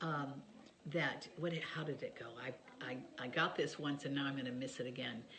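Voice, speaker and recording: A woman speaking at a moderate pace, with audible room echo. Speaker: author sharing family stories. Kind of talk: casual chat to camera. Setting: home video by Christmas tree.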